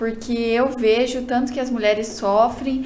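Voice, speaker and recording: A high-pitched woman at a fairly slow pace with monotone, flat intonation, plus light background noise and audible room echo. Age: young. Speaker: beauty pageant contestant. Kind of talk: casual interview. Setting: studio. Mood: polite, warm. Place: studio.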